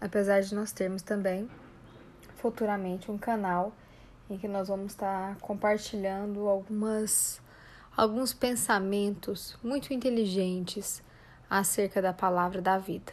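A woman talks at a fairly slow pace and a medium pitch. Her intonation is flat and monotone. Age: 30s. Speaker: psychologist and life coach podcast host. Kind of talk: podcast introduction monologue. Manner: informal, with filler hesitations.

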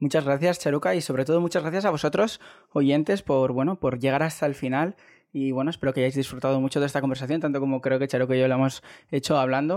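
A man at a very fast pace, his loudness very even throughout. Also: fairly high pitch for a man, ordinary pitch variation. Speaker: podcast host, stationery blogger. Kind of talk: casual interview chat. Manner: hesitant, filler-heavy.

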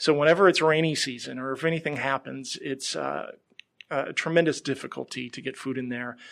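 This man talks at a fairly quick pace, his pitch varying in an ordinary way while his loudness swings widely. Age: 40s. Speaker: nonprofit donor engagement staff. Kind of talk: interview. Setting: studio. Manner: halting, frequent repetitions.

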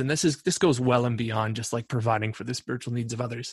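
Here is a man with an unremarkable speaking voice and a Canadian accent. His pitch sits in the middle and his intonation stays fairly even. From Canada (Ontario). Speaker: podcast co-host. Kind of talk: casual chat.

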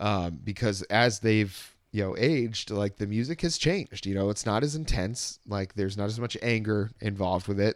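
In a very clean recording with a silent background, a man with a plain, everyday voice speaks at a moderate pace, his fairly low pitch varying in an ordinary way. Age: 30s. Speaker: podcast host. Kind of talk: casual chat.

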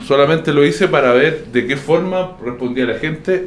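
A man talks fairly quickly in an ordinary speaking voice, with ordinary pitch variation. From Chile, Biobío (Concepción). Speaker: music teacher. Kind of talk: casual chat.

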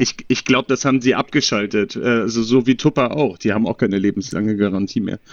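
A man talks at a very fast pace with hardly any pauses. His pitch moves in an ordinary way. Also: medium pitch for a man. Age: 30s. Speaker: podcast guest. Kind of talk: casual chat. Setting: remote call.

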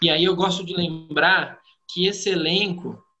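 Here a man with a high pitch and a bright, sharp tone speaks with ordinary pitch variation. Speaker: podcast host. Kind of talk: casual chat.

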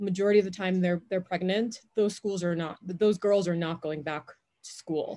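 A woman with a New York accent, medium pitch and a moderate pace. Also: big swings in loudness. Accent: New York American. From New York area (Jamaica-born, moved at five). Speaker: head of growth at a startup. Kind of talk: interview. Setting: outdoors in backyard.

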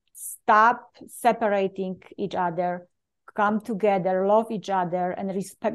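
A woman with a Polish accent speaks fairly slowly at a medium pitch. Her intonation stays fairly even against a quiet background. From Poland. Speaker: leadership coach and speaker. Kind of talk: interview.

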